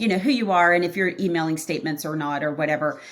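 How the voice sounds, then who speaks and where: A woman's voice with ordinary pitch variation in a very clean recording with a silent background. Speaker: accounting practice consultant. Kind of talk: podcast interview. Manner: fast.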